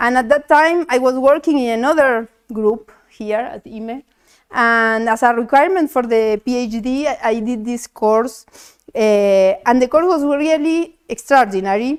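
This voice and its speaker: A fairly slow pace in a very clean recording with a silent background. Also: woman, high pitch for a woman, ordinary pitch variation. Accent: Spanish. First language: Spanish. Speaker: mathematician. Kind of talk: tribute speech read aloud. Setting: academic event with audience. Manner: halting.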